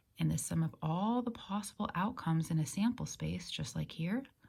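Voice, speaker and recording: The speaker is soft-spoken and somewhat breathy, with lively intonation. The pace is fairly slow. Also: woman. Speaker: math teacher. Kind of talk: lecture.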